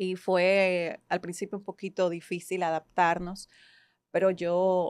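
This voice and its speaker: A woman's medium-pitched, flat monotone voice, dry and close with no echo, on a very clean recording with a silent background. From Ecuador, Guayaquil (moved to Dominican Republic at 12). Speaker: psychologist and coach. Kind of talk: podcast interview.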